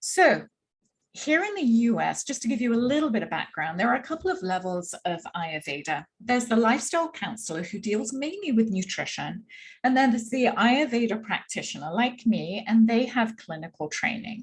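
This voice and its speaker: In a slight English accent, a woman talks at a moderate pace with a fairly high pitch and very wide pitch swings. The recording is very clean and the background silent. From England, London. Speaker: Ayurveda practitioner. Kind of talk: workshop presentation.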